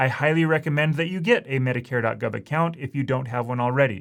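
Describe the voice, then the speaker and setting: A man's fairly high voice, with ordinary pitch variation, comes through a very clean recording with a silent background. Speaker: insurance agent. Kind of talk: tutorial. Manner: fast.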